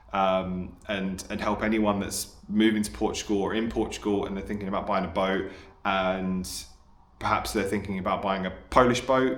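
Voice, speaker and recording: This man speaks with an English accent. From England. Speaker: amateur fisherman, boat vlogger. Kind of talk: casual talk to camera. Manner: hesitant, with many fillers.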